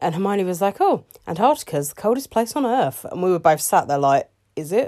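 This is a woman's voice. She speaks at a fairly quick pace. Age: 30s. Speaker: parenting podcaster. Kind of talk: casual solo monologue. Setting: bedroom, in the dark. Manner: hesitant, many fillers.

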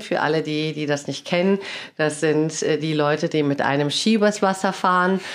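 A woman's very deep, low voice at a fairly slow pace, over a quiet background. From Germany, Cologne. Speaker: lawyer and sales trainer, podcast host. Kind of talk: casual interview chat.

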